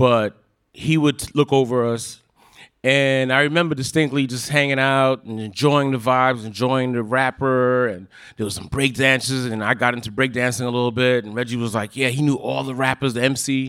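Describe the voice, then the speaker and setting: A man speaks with a New York accent and fairly even intonation. The recording is very clean, with a silent background. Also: medium pitch for a man, moderate pace. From Park Slope, Brooklyn. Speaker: cousin of the late host. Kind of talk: storytelling on stage. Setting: stage with audience.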